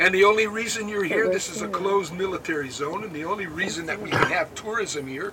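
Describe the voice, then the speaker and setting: Amid noticeable background noise, a high-pitched man talks at a moderate pace with ordinary pitch variation. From United States. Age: 70s. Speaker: war veteran and kibbutz tour guide. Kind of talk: guided tour talk to visitors.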